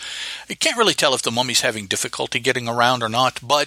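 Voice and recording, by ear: Someone reads aloud, sounding natural. The pitch rises and falls a normal amount.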